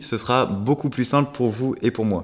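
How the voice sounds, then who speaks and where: A man talks fairly quickly. His voice sits at a medium pitch. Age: 30s. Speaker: travel vlogger. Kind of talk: vlog. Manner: casual, animated.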